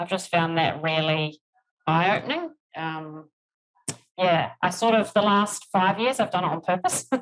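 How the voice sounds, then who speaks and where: A woman with a New Zealand accent, medium pitch, lively intonation and a moderate pace. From New Zealand, rural. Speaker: HR executive. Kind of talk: podcast interview.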